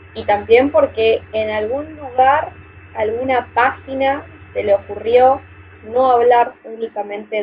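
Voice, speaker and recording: A woman's very slow speech in a Rioplatense accent, with ordinary pitch variation over noticeable background noise. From Argentina, Buenos Aires. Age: 20s. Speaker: asexual activist. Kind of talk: casual panel discussion.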